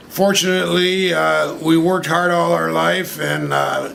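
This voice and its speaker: A man speaking very slowly, with audible room echo and noticeable background noise. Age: 70s. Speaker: interviewee at street interview. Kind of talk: street interview. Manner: halting, many fillers and repetitions.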